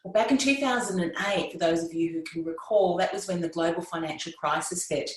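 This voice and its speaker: A fairly low female voice with an Australian accent, amid audible room echo and noticeable background noise. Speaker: podcasting coach. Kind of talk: interview conversation.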